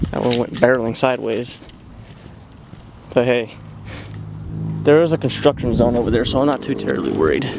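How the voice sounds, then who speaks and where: Long pauses come often as a man talks at a fairly quick pace. Background noise is noticeable. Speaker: fireworks hobbyist vlogger. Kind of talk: casual commentary while filming. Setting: outdoors in an open area. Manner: loud.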